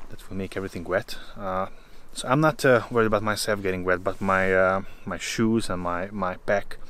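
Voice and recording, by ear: The intonation stays fairly even. The speaker is a man. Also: fairly bright tone.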